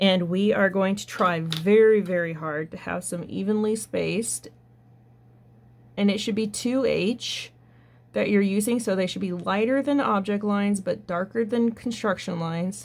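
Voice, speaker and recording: This woman has a medium-pitched, ordinary speaking voice, talking at a moderate pace with ordinary pitch variation. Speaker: drafting teacher. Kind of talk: tutorial.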